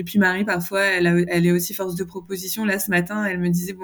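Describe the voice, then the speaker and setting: A woman's medium-pitched voice stays in a monotone, flat intonation. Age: 30s. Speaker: communications manager, dietary program client. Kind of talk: interview testimony. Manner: hesitant, many fillers.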